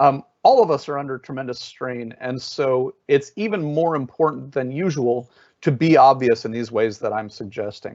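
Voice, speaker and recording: This is a man with a normal speaking voice at medium pitch and ordinary pitch variation. He keeps a moderate pace with hardly any pauses. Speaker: adaptability trainer, webinar speaker. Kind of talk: webinar presentation. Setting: online webinar software.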